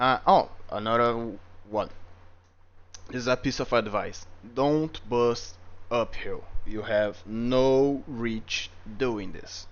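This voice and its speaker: Speaking at a very slow pace with long, frequent pauses, a man with a medium pitch and a slight non-native accent keeps his intonation fairly even. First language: not English. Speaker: gaming video creator. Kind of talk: game tutorial review. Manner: casual, some hesitations.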